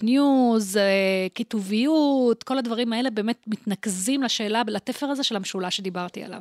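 A woman speaks at a moderate pace in an ordinary speaking voice, fairly high in pitch. The recording is very clean, with a silent background and a dry, close sound with no echo. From Israel, Holon. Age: 50s. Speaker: professor of information science. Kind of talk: interview conversation.

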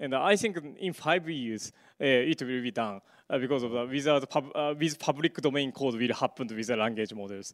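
The speaker has a Japanese accent. The recording is very clean, with a silent background. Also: man, medium pitch for a man, ordinary pitch variation, moderate pace. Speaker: media artist and computer science researcher. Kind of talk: conference talk. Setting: stage with audience. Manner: halting, many fillers.

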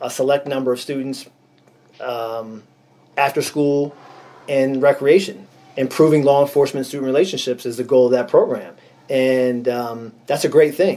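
Noticeable background noise sits behind a man with a western Pennsylvania accent. He talks at medium pitch and a moderate pace with fairly even intonation. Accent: western Pennsylvania American. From Erie, Pennsylvania. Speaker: retired state trooper, nonprofit founder. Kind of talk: interview.

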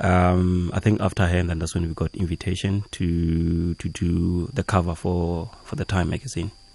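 This man's pitch is very deep and low, with fairly even intonation. He keeps a moderate pace with hardly any pauses. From South Africa, Limpopo. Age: 30s. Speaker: visual artist. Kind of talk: radio interview. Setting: radio studio.

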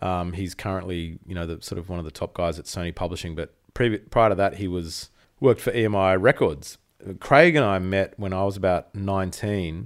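A man with an Australian accent speaks at a very deep, low pitch with ordinary pitch variation and big swings in loudness. The recording is very clean, with a silent background. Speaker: musician. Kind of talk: casual chat.

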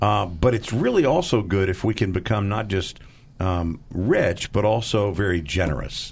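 A man's normal speaking voice, fairly low-pitched, at a fairly slow pace with ordinary pitch variation. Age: 50s. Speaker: charity fundraiser. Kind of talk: radio fundraising appeal.

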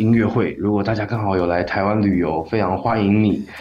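Noticeable background noise runs under the clip. A man with a fairly low pitch talks at a fairly quick pace with ordinary pitch variation. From Taiwan. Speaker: singer-songwriter. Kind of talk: interview. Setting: radio studio.

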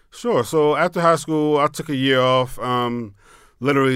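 An unremarkable speaking voice with an American accent moves at a fairly quick pace with ordinary pitch variation on a very clean recording with a silent background. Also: man. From Maryland, Pasadena. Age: 40s. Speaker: tequila entrepreneur and military veteran. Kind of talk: interview. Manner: casual.

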